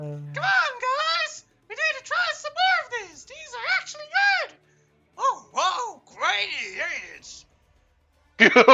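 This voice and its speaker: A woman's put-on character voice, extremely high and squeaky, at a fairly slow pace with long, frequent pauses and faint music in the background. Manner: squeaky, very high-pitched.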